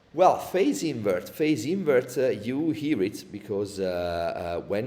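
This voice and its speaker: With an Italian accent, a man speaks at a fairly slow pace. Noticeable background noise is present. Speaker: audio plugin developer. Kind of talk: tutorial webinar. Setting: live online webinar. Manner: halting, many fillers.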